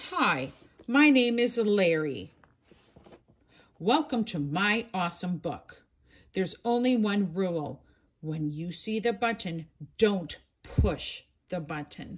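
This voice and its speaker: Using a put-on character voice at a medium pitch, a woman speaks at a fairly slow pace with long, frequent pauses. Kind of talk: bedtime story. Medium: read story. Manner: excitable, playful.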